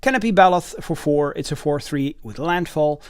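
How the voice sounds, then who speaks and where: Moderate-paced speech with a non-native accent, on a very clean recording with a silent background. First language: not English. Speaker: card game YouTuber. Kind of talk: product unboxing and card reading. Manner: halting, many fillers.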